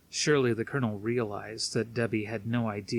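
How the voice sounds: Fairly even intonation in a natural reading voice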